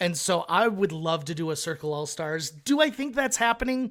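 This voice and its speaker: A loud man speaks at a high pitch. The recording is very clean, with a silent background. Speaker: reality TV contestant. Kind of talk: podcast interview.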